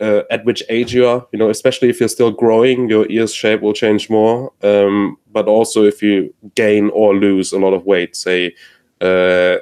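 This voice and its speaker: In a flat monotone with very even loudness, a man with a non-native accent and fairly low pitch speaks at a moderate pace. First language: not English. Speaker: headphone enthusiast panelist. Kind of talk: casual chat. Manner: halting.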